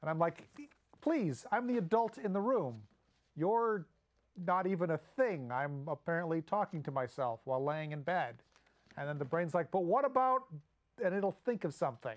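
Speaking at a moderate pace in a high voice, a man swings his pitch very widely and leaves long, frequent pauses. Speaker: comedic web show host. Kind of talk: comedic monologue. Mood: playful, self-deprecating. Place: studio.

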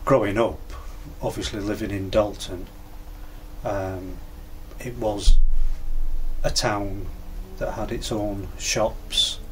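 With light background noise, a man talks at a very slow pace, leaving long, frequent pauses. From Cumbria, England. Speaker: biker. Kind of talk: interview answer. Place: garage.

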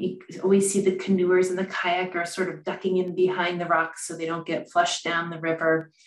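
Room echo can be heard. A woman talks at a moderate speed. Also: hardly any pauses. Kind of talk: lecture. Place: office. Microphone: webcam.

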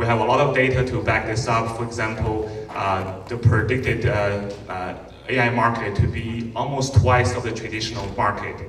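Music plays in the background as a man speaks in a monotone, flat way. Audible room echo surrounds his voice. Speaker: conference host. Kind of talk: conference welcome talk. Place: stage.

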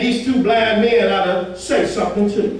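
A man with a high-pitched voice talks at a moderate pace, with audible room echo around him.

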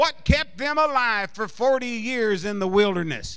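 Against a quiet background, a man speaks fairly slowly in a high, raised, projected voice with a bright, sharp tone. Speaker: preacher. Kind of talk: sermon. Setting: church congregation. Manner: fervent, insistent, building to a rousing call-and-response. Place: church. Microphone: handheld.

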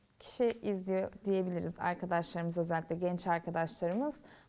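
A woman's dark, mellow voice. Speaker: university TV show host; talk show host. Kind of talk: casual interview. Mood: warm, friendly. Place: stage.

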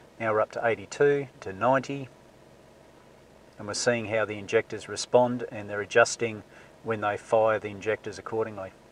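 At a moderate pace and with fairly even intonation, the voice comes through in a dry sound with no echo and light background noise. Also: man. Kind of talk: tutorial. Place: car.

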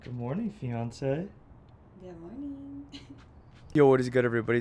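Against light background noise, a man talks at a fairly quick pace, the sound dry with no echo. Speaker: vlogger. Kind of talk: casual vlog chat. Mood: happy, excited storytelling. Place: garden. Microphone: phone near.

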